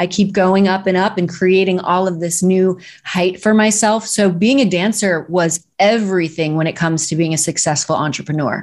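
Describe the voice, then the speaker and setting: A woman's unremarkable speaking voice at medium pitch, moderate pace and fairly even intonation, with hardly any pauses, on a very clean recording with a silent background. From US Midwest, Missouri. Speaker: speaking coach and director. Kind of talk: interview.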